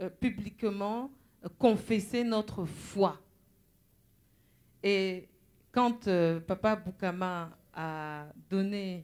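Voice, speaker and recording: On a very clean recording with a silent background, a woman of medium pitch speaks at a very slow pace with long, frequent pauses and ordinary pitch variation. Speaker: preacher. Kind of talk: sermon.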